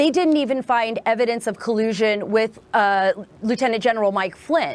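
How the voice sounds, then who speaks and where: A woman's ordinary speaking voice, fairly high, at a moderate pace with ordinary pitch variation and very even loudness. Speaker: investigative journalist. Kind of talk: TV news interview answer.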